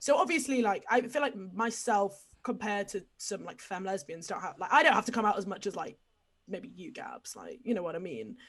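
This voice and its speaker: A woman speaks with an English accent at a fairly quick pace, her pitch medium. Her intonation is lively, and her loudness swings widely. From England. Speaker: podcast guest. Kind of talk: casual chat. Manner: animated.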